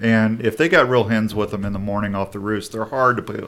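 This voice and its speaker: The pace is fairly quick. It is a plain, everyday voice. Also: man. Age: 50s. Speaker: outdoor radio show host. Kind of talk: casual chat.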